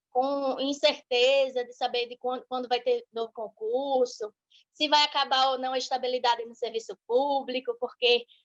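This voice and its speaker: Speaking at a moderate pace, a woman with a Sergipe accent uses a high pitch. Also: big swings in loudness, dry, close sound with no echo. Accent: northeastern Brazilian (Sergipe), noticeable. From Brazil, Sergipe (Aracaju). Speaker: law teacher and legal analyst. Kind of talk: online lecture.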